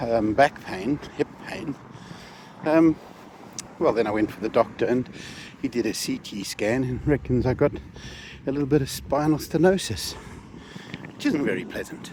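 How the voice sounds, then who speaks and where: Through noticeable background noise, a man of medium pitch speaks at a moderate pace with ordinary pitch variation and long, frequent pauses. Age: 60s. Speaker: vlogger. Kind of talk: casual vlog monologue. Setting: outdoors. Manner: halting.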